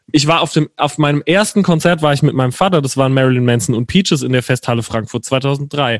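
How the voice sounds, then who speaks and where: The speaker goes at a very fast pace with hardly any pauses and ordinary pitch variation. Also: man, fairly high pitch for a man. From Palatinate, southwest Germany (Herxheim near Landau). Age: 20s. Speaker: singer-songwriter. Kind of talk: casual chat.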